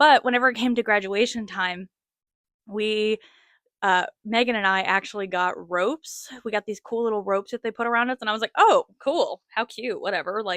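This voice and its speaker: Against a quiet background, a woman with a fairly high pitch and a bright, sharp tone talks at a moderate pace with ordinary pitch variation, in a dry, close sound with no echo. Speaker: podcast host. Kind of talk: casual monologue. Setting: talking to a camera. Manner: casual, filler-heavy.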